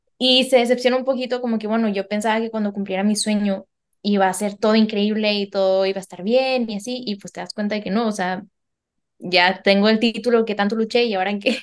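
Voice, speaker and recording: Very fast speech in a monotone, flat intonation with big swings in loudness. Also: woman, fairly high pitch for a woman. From Mexico. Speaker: geneticist and painter. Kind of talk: casual interview chat.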